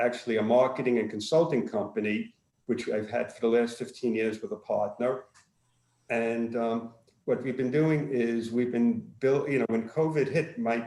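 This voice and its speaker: A man speaks with a Brooklyn accent. His pace is moderate. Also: medium pitch for a man, fairly even intonation. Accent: Brooklyn New York. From Brooklyn, New York. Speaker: former chiropractor and marketing business owner. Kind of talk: casual self-introduction on virtual networking call.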